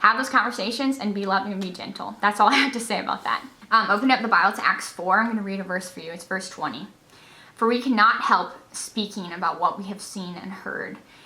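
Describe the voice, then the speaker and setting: A woman at medium pitch talks very fast in an animated tone, with ordinary pitch variation and big swings in loudness. Noticeable background noise runs underneath. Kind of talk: vlog exhortation to camera.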